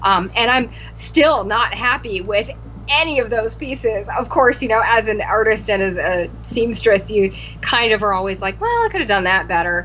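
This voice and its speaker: Noticeable background noise fills the recording. A woman talks at a moderate pace. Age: 30s. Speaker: cosplayer. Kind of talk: casual chat.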